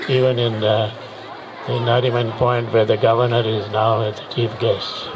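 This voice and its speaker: Over crowd noise in the background and audible room echo, a man with a medium pitch speaks at a moderate pace in a monotone, flat intonation. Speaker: retired air force officer, chief guest. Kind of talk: ceremonial speech. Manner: halting.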